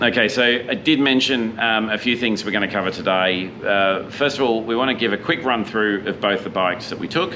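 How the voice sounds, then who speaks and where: In an Australian accent, the speaker talks at a fairly quick pace with hardly any pauses and ordinary pitch variation over noticeable background noise. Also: man, medium pitch for a man. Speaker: motorcycle vlogger. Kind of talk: casual chat. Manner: halting; talkative.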